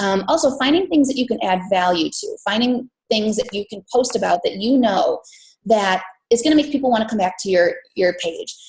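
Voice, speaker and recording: The speaker sounds somewhat breathy, with an American accent and lively intonation. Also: woman, fairly high pitch for a woman. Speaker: fitness business coach. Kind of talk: team call presentation. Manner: fast.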